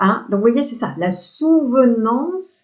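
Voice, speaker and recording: A woman with a high pitch and a dark, mellow tone speaks at a very slow pace with lively intonation. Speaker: spiritual coach. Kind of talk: spiritual talk to camera. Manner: hesitant fillers, repetitions.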